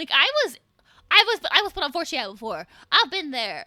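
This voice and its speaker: A woman's raised, projected, animated voice at a moderate pace, with very wide pitch swings, a bright, sharp tone, and a dry, close sound with no echo. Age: 20s. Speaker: VTuber streamer. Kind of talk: casual live stream chat.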